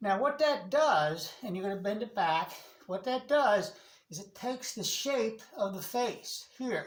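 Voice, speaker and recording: A woman speaks fairly slowly in a normal speaking voice, fairly high in pitch. Her intonation is lively and her loudness swings a lot. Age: 60s. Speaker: martial arts instructor. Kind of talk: tutorial. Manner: casual, repetitive instructional pacing.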